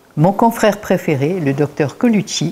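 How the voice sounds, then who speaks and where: Somewhat breathy, a woman speaks with a fairly low pitch, a dark, mellow tone and lively intonation. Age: 80s+. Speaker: naturopath. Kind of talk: interview.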